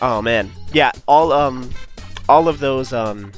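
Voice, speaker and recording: A man's voice with ordinary pitch variation over background music. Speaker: speedrun competition commentator. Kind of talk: live game commentary.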